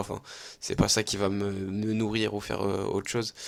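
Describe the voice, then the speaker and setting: Monotone, flat intonation from a man at a fairly quick pace. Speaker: gaming youtuber. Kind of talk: gameplay commentary. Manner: casual, hesitant with fillers.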